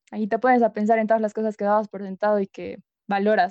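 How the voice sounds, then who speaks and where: A woman talks in a normal speaking voice with a fairly high pitch. Her intonation stays fairly even. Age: 20s. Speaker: student podcast co-host. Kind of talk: casual interview.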